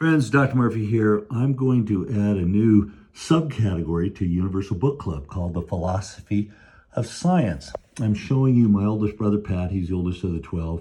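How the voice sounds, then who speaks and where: This man's fairly low, somewhat breathy voice has a dark, mellow tone, moving at a moderate pace with lively intonation. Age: 60s. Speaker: book commentator. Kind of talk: book review commentary.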